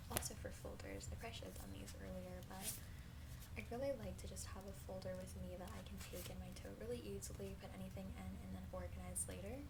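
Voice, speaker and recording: A soft-spoken woman talks at a very fast pace in a very deep, low voice with ordinary pitch variation. Noticeable background noise can be heard. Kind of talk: ASMR haul video talking to viewers.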